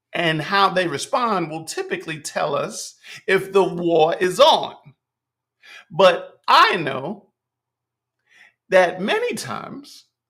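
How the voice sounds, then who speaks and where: Speaking in a raised, projected voice with an American accent, a man talks at a very slow pace with long, frequent pauses, a high pitch, ordinary pitch variation and big swings in loudness. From New York City (Bronx, Manhattan, Queens). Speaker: podcast host, rapper and spoken word artist. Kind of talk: casual monologue. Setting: livestream.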